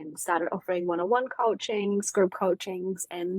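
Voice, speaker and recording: A woman with a German accent speaks at a moderate pace in a fairly low voice, her intonation fairly even and the sound dry and close with no echo. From Germany. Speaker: mindset coach and author. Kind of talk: podcast interview.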